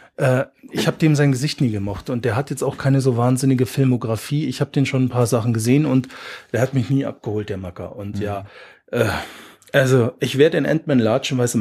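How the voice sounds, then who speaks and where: A man talks at a fairly quick pace with a medium pitch and ordinary pitch variation. His tone is dark and mellow, and somewhat breathy. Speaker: podcast host. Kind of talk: casual chat.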